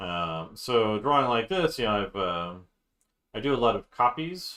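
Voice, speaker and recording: The man's pitch is medium, yet it swings very widely. His tone is bright and sharp, and the background is quiet. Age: 40s. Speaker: art teacher drawing on stream. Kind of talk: casual live-stream chat while drawing. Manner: slowed down, deliberate pace; halting, many fillers.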